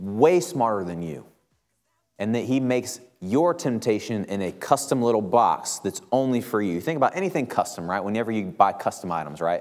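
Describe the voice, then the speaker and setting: Music plays in the background as a man speaks at a moderate pace. His medium pitch moves in very wide swings. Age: 30s. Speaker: preacher. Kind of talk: sermon.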